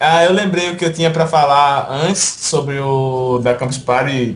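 With pitch that moves in a normal way, this man's voice sits fairly high. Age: 20s. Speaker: esports tournament organizer; show host. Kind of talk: casual chat. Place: home room. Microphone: headset.

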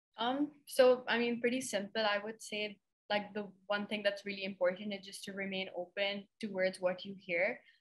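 A somewhat breathy woman speaks at a moderate pace and medium pitch with fairly even intonation against a quiet background. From Pakistan. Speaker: young foresight practitioner, organization founder; panelist. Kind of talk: online panel discussion. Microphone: video call.

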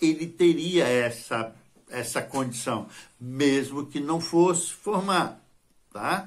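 Very slow delivery with lively intonation. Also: man, fairly high pitch for a man. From Brazil. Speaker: channel host. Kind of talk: tutorial. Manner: hesitant, with frequent filler words. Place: home room. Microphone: phone near.

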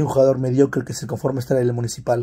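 Animated, somewhat breathy male voice, fairly high in pitch, in a very clean recording with a silent background. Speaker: football commentary youtuber. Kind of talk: opinion monologue.

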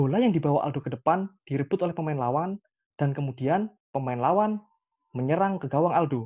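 Speaking at a fairly quick pace, a man uses a fairly high pitch and lively intonation.

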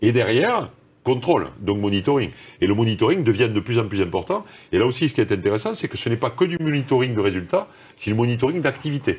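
Somewhat breathy, a man talks at a very fast pace with lively intonation. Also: medium pitch for a man. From France, Toulouse; France. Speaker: corporate executive; interviewee. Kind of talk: interview. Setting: video call. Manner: halting, many repetitions. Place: studio.

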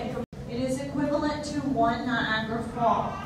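Loud background noise and audible room echo surround the speech. A woman talks at a fairly slow pace. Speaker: tour guide. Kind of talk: guided tour talk. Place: hall.

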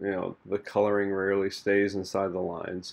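An American accent at a moderate pace. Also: man. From Missouri, USA. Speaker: artist and podcaster. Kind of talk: casual talk to camera while painting. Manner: soft-spoken, relaxed, with hesitations and fillers. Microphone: studio mic.

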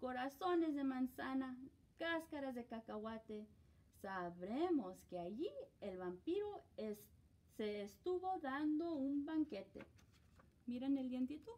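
A woman with a high pitch talks at a very slow pace, leaving long, frequent pauses. Her dark, mellow tone moves through very wide pitch swings. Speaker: teacher. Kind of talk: children's story read-aloud. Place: classroom. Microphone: camera far.

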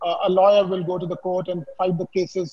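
A man speaks at a high pitch over a quiet background. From India, Bikaner, Rajasthan; Rajasthan, India. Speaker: architect; panelist. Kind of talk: webinar panel discussion. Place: home room. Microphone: video call.

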